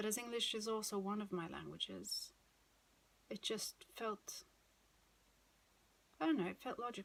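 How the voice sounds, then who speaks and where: A woman in a Swedish accent at a moderate pace, with long, frequent pauses. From Sweden. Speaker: knitting podcaster. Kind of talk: casual monologue. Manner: hesitant, many fillers.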